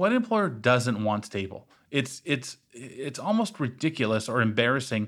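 Over a silent background in a very clean recording, a man speaks at a medium pitch and a moderate pace with hardly any pauses. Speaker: podcast host. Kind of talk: casual chat. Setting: studio. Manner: deadpan.

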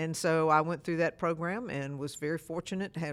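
This speaker moves at a fairly quick pace with a Mississippi accent, captured on a very clean recording against a silent background. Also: woman. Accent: US Southern (Mississippi). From Mississippi (Starkville). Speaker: mayor, former Navy and airline pilot. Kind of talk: interview. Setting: city hall.

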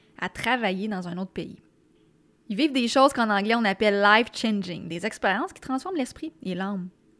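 In a Quebec accent, a woman speaks at a moderate pace in a fairly high voice with ordinary pitch variation. The recording is very clean, with a silent background. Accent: Québécois French. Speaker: podcast host. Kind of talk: monologue intro; interview. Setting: studio.

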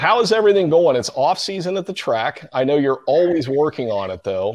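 Here a man speaks in an American accent. His pitch swings very widely. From Cincinnati, Ohio. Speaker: podcast host. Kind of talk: interview.

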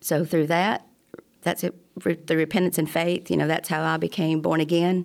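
With an Alabama accent, a woman speaks at a moderate pace in a fairly low pitch with vocal fry. Her intonation is monotone and flat, and her loudness stays very even. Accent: Southern US (Alabama). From US South, Alabama. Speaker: church member sharing testimony. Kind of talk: testimony.

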